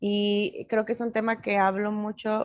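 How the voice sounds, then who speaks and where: A woman at a very slow pace, medium in pitch. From Mexico, Hidalgo (Nahua community). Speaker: psychologist and social initiative founder. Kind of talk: interview.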